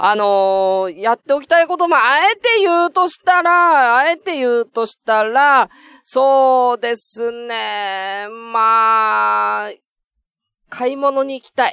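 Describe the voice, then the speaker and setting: A man's extremely high, bright, sharp voice, raised and projected, very slow with lively intonation, over a quiet background. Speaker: internet radio host. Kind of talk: casual solo talk. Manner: low energy.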